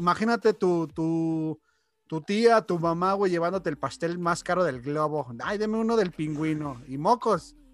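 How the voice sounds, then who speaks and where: Recorded very cleanly against a silent background, the voice moves at a fairly slow pace with ordinary pitch variation. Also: man, high pitch for a man. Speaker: podcast co-host. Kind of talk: casual chat.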